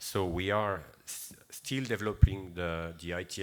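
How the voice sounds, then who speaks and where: Over a very clean recording with a silent background, a man with a French accent speaks in a very deep, low voice with fairly even intonation. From France. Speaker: seafood certification director. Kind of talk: conference presentation. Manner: hesitant, many fillers.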